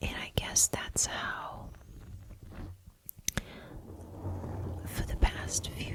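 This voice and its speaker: A gentle tone carried in a whisper. Noticeable noise sits in the background. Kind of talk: ASMR affirmations, casual talk to camera. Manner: soft-spoken, gentle, personal.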